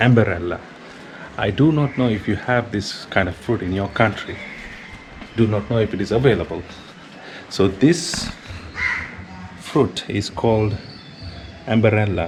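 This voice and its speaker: Against noticeable background noise, a man with a Sri Lankan accent speaks at a fairly low pitch with long, frequent pauses. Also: ordinary pitch variation, moderate pace. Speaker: travel and food vlogger. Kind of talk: casual vlog talk.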